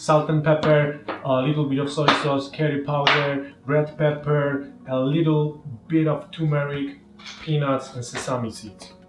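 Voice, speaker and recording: A man talks at a fairly high pitch and fairly slow pace, with monotone, flat intonation. Noticeable background noise and audible room echo fill the recording. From Poland. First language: Polish. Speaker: home cooking video host. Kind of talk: cooking tutorial. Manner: casual, hesitant with fillers.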